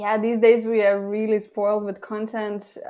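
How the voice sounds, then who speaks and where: A woman with a Lithuanian accent speaks at a moderate pace in a medium pitch, her intonation monotone and flat. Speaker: copywriter and former journalist. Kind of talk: casual interview. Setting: remote call.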